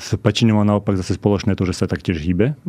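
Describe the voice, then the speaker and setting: A man talks in a dark, mellow tone. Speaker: scientist. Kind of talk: interview. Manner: halting.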